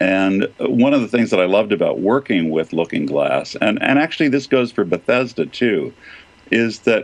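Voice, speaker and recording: Over noticeable background noise, a man's voice comes through at a medium pitch. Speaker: voice actor. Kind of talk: casual interview chat. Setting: remote call.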